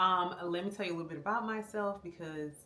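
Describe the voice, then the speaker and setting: Someone with an American accent speaks at a fairly quick pace with ordinary pitch variation against noticeable background noise. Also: woman. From Florida. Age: 40s. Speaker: vlogger, army veteran. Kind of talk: casual vlog talk to camera. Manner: conversational, many fillers (um).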